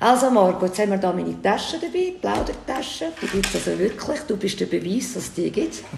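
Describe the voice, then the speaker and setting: A woman talks at a fairly quick pace with hardly any pauses. Audible room echo and noticeable background noise surround her. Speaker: podcast host. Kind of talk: casual interview chat. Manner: animated.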